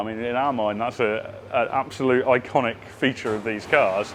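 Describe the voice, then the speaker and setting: A man speaks while background noise is noticeable throughout. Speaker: car restoration workshop presenter. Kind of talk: workshop video update.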